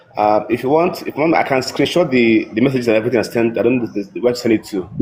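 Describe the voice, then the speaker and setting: A man talks at a very fast pace with ordinary pitch variation against noticeable background noise. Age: 40s. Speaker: participant sharing experience. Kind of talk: testimony. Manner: halting.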